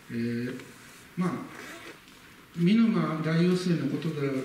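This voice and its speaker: Light background noise and audible room echo. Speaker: local history lecturer. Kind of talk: lecture. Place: hall. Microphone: camera far.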